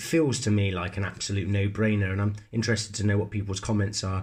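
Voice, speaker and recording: This man talks at a fairly quick pace in a Bristol accent. His voice is fairly low in pitch and somewhat breathy. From England, Bristol. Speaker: sports card collector YouTuber. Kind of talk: casual show-and-tell video. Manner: hesitant, many fillers and restarts.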